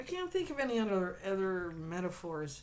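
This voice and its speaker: Woman at a medium pitch with very wide pitch swings, a moderate pace and audible room echo. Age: 50s. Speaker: tarot card reader. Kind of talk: tarot reading monologue. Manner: animated.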